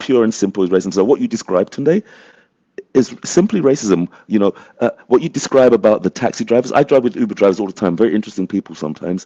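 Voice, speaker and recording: With a British accent, a man talks at a very fast pace in a dark, mellow tone at medium pitch, his intonation lively and the sound dry and close with no echo. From England. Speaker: community advocate, panelist. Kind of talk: panel discussion.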